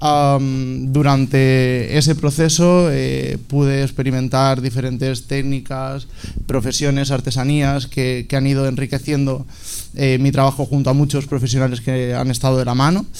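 A man's medium-pitched voice comes at a fairly slow pace in a monotone, flat intonation, with audible room echo. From Alicante, Spain. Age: 20s. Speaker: fashion designer. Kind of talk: panel discussion. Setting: stage with audience. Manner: halting.

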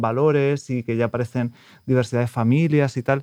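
This is an unremarkable speaking voice. It moves at a fairly quick pace with fairly even intonation. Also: man. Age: 30s. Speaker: prospective adoptive parent. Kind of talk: interview.

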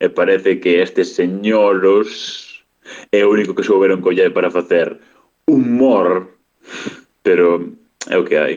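Speaking very slowly with long, frequent pauses, a man keeps his loudness very even. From Galicia, Boiro. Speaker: youtuber. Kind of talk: recorded voice message.

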